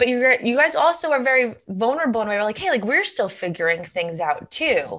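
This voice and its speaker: Against a quiet background, a woman talks in a high pitch with very wide pitch swings. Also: fairly quick pace. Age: 30s. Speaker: podcast host. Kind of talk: interview.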